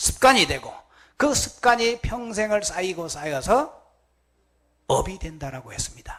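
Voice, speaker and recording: With a slight Gyeongsang accent, a man talks at a high pitch. His intonation is lively and his pace fairly slow. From Gyeongsang Province, Korea. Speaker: Buddhist monk. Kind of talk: sermon.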